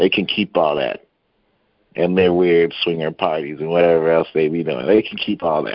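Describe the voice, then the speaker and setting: A man with a very deep, low pitch keeps a moderate pace and fairly even intonation. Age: 30s. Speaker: podcast guest. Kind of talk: casual debate.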